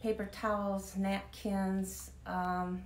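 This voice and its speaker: Recorded with noticeable background noise and audible room echo, a woman speaks. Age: 70s. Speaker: author. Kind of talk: interview. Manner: halting.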